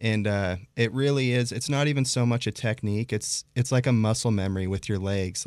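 A man's normal speaking voice with an American accent, medium pitch and fairly quick pace, in a very clean recording with a silent background. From Idaho, Pocatello. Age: 30s. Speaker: professional snowboarder. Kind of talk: casual chat.

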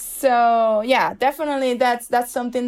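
Set against a silent background in a very clean recording, the speaker has a Venezuelan accent. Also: woman. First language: Spanish. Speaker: photojournalist, COVID survivor. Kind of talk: personal testimony interview.

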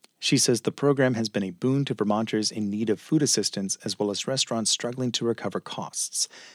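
In a plain, everyday voice, a man talks at a fairly quick pace with a medium pitch and fairly even intonation, in a very clean recording with a silent background and a dry, close sound with no echo. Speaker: radio newscaster. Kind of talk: formal midday radio news bulletin read from script. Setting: radio studio. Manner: measured, even-paced newsreader delivery; crisp, neutral and formal, no personal asides.

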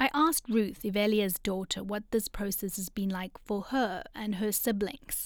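This woman has an ordinary speaking voice, medium in pitch with ordinary pitch variation, and she talks at a moderate pace with hardly any pauses. The recording is very clean and the background silent. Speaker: podcast host and reporter. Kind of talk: scripted narration.

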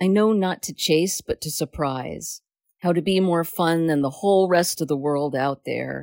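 A woman with an unremarkable speaking voice and fairly low pitch speaks at a moderate pace with ordinary pitch variation, the sound dry and close with no echo. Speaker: poet reading own poem. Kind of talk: poem performed, read aloud.

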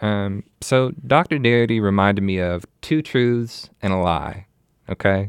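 Here is a man with an ordinary speaking voice and a fairly low pitch. He talks at a fairly slow pace with ordinary pitch variation. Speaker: podcast host. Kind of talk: podcast discussion and interview.

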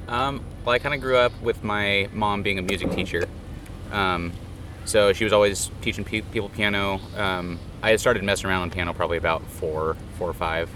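There is audible room echo as a man speaks at a fairly quick pace, his pitch fairly low with ordinary variation. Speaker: bass player. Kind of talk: backstage interview. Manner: halting, many ums.

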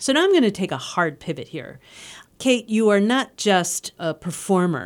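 On a very clean recording against a silent background, the words come at a moderate pace. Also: woman. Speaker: radio host. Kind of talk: radio interview. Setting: studio.

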